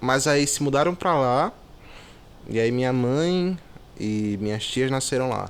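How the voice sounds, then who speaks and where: A man's fairly high voice rises and falls with lively intonation. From Brazil, Natal, Rio Grande do Norte. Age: 20s. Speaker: singer-songwriter and music producer. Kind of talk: interview. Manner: casual, hesitant with fillers.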